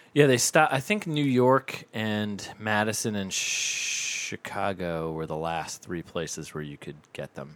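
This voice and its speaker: A man's fairly slow speech with very wide pitch swings, big swings in loudness and hardly any pauses. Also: fairly low pitch for a man. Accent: American. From US Northeast. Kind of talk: casual chat.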